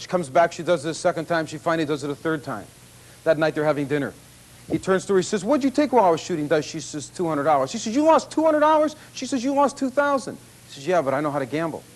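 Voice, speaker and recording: A man's high-pitched, confident voice at a very fast pace with lively intonation. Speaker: blackjack expert and course instructor. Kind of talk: infomercial presentation to audience. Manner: confident, conversational, salesman-like.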